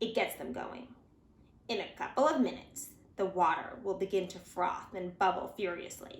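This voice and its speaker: A woman's creaky, put-on character voice at medium pitch, with lively intonation and a moderate pace. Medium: read story. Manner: whispering, conspiratorial.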